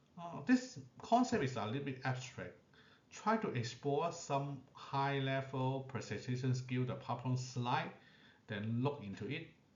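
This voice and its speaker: Audible room echo surrounds a man speaking at a fairly slow pace. His voice sits at medium pitch with ordinary pitch variation. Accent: non-native. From Asia. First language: not English. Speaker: allied health professional. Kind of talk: lecture. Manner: short phrases with frequent pauses.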